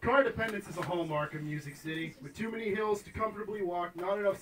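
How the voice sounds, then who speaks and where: A man talking at a very fast pace with lively intonation, over noticeable background noise. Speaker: poet and author. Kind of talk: live prose reading. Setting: live venue.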